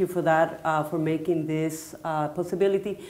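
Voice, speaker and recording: In a Spanish accent, a woman speaks with a fairly low pitch and monotone, flat intonation. Audible room echo and noticeable background noise fill the recording. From Puerto Rico. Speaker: artist. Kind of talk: onstage interview. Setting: stage with audience. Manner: halting.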